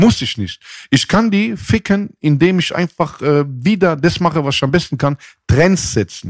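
An unremarkable speaking voice, a man with a fairly high pitch and lively intonation at a fairly slow pace, with a dry, close sound and no echo. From southwestern Germany, Mannheim. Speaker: rapper. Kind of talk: casual chat.

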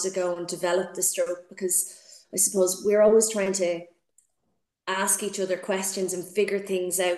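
A woman with a Dublin accent speaks at a moderate pace in a medium pitch, her intonation monotone and flat. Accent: Dublin Irish. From Dublin, Ireland. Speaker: swimming coach. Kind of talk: interview. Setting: video call. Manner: hesitant, many fillers.

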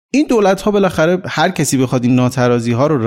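Lively intonation runs through an ordinary speaking voice. The recording is very clean, with a silent background. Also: man. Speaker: economist. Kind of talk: interview.

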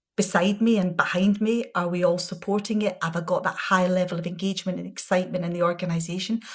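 A woman with a Glasgow accent talks at a fairly quick pace in a somewhat breathy voice. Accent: Scottish, Glasgow. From Scotland, Glasgow. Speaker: pharmaceutical executive. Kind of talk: interview.

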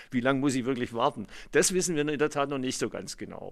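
A medium-pitched man at a fairly quick pace on a very clean recording with a silent background. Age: 60s. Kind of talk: interview, explanatory.

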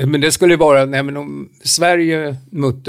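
A normal speaking voice at a fairly slow pace. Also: man. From Romania. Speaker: podcast co-host. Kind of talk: casual chat.

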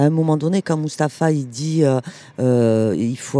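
Over background music, a woman talks at a fairly slow pace with a dry, close sound and no echo. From Toulouse, France. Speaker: community activist. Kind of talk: casual interview.

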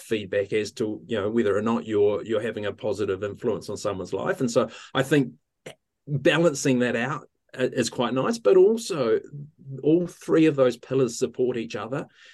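A man talks with a New Zealand accent at medium pitch. His pace is fairly quick. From New Zealand, central North Island. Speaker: physiotherapist and associate professor. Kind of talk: interview. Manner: hesitant, frequent fillers.

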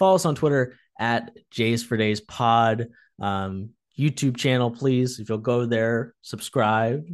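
Against a quiet background, a man speaks at a medium pitch with ordinary pitch variation. He has an ordinary speaking voice. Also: fairly slow pace. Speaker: podcast host. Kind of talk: casual sports chat.

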